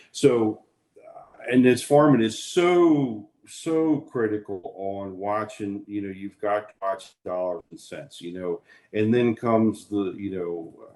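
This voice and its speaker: With an American accent, a man in an ordinary speaking voice talks at a fairly low pitch and ordinary pitch variation. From Maryland, USA. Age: 50s. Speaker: farmer. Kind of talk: interview answer.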